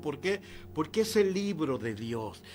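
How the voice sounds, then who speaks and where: A man speaks with a fairly high pitch, and the room echo is audible. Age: 60s. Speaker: pastor. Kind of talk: sermon. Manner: halting.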